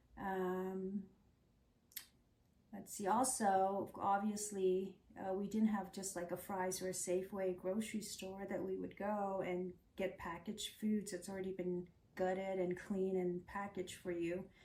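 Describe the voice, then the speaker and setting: Noticeable background noise sits behind a woman with an American accent and medium pitch. She speaks at a fairly slow pace in a flat monotone. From Laos, then Thai refugee camp, raised from age 9 in Tennessee and Arizona. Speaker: refugee immigrant, former teacher. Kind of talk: oral history interview.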